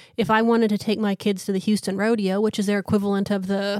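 On a very clean recording with a silent background, a woman with an unremarkable speaking voice talks at a fairly quick pace and medium pitch, with fairly even intonation. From small-town Canada. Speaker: podcast co-host. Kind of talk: casual chat.

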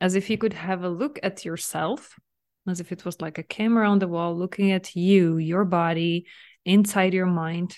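A woman's plain, everyday voice at medium pitch, with fairly even intonation against a quiet background. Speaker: mental fitness coach and podcast host. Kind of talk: guided visualization meditation, gently leading listener inward. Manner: soft, soothing, slow invitations with frequent light laughs; warm, nurturing, reassuring tone toward listener.

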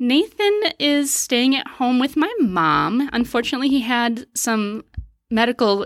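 In an American accent, a woman uses an ordinary speaking voice with lively intonation at a fairly slow pace. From Wisconsin, US Upper Midwest. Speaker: family physician. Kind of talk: casual interview.

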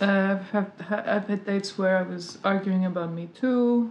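A woman at medium pitch, talking at a moderate pace with fairly even intonation over noticeable background noise. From France, Paris. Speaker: comedian and screenwriter. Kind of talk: casual chat.

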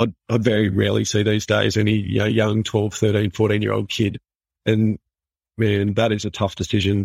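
Fairly low-pitched male voice with an Australian accent, vocal fry, a flat monotone and a fairly quick pace, recorded very cleanly, dry and close with no echo against a silent background. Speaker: physiotherapist. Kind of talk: interview.

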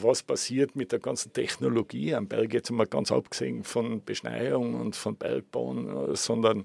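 A man with a Tyrolean accent at a very slow pace, in a dry, close sound with no echo. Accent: Tyrolean Austrian German. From Tyrol, Austria (Innsbruck). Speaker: tourism consultant. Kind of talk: interview. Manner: repetitive, halting restarts.

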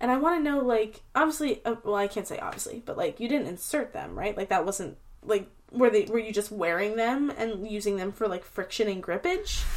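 Here is a woman with an ordinary speaking voice, pitched fairly high. She moves at a fairly quick pace with lively intonation. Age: 20s. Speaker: podcast host. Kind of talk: casual chat.

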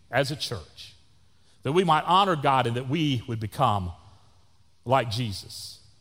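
In a very clean recording with a silent background, a man with a Texan accent speaks at a fairly slow pace with very wide pitch swings. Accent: Texan Southern US. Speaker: pastor. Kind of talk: sermon. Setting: church. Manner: loud.

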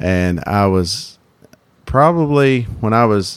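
The voice is a man's, fairly low in pitch. He has an American accent. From North Carolina, Wilkes County. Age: 20s. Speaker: barber. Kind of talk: interview. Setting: barber shop.

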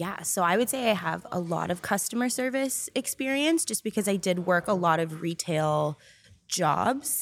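This is an ordinary speaking voice with lively intonation at a moderate pace. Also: woman, medium pitch for a woman. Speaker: team member at a company. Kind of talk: casual chat.

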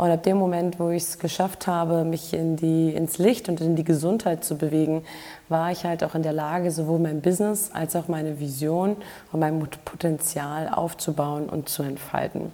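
Noticeable background noise sits behind a woman speaking at a moderate pace. Her pitch is fairly low and her intonation fairly even. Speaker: health and performance coach, podcast host. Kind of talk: solo podcast monologue.

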